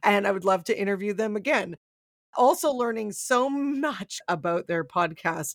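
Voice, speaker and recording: This woman speaks at a fairly slow pace with an animated tone and lively intonation. The recording is very clean, with a silent background. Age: 30s. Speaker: radio broadcaster and podcast co-host. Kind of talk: casual chat.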